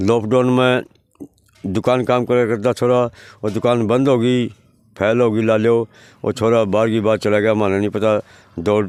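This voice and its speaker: With a Haryanvi accent, a man speaks at medium pitch in a monotone, flat intonation. His loudness stays very even, broken by long, frequent pauses. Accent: rural Haryanvi Hindi. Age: 70s. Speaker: evicted villager. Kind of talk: news interview.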